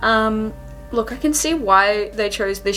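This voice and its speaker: Music plays behind a woman who talks at a fairly slow pace. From Australia. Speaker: beauty vlogger. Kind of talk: makeup tutorial with casual chat. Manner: chatty, casual.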